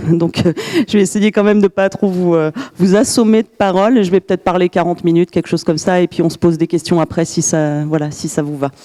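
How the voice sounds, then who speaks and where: Her pitch fairly low for a woman with ordinary variation, she talks at a very fast pace in a dry, close sound with no echo. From France, Grenoble. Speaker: glaciologist and university professor. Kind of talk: lecture. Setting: conference room with audience. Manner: hesitant, many fillers.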